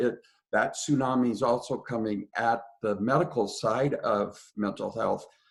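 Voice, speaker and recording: With a somewhat breathy quality, a man's voice keeps to a moderate pace. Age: 60s. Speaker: pastor. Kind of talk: webinar interview. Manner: halting.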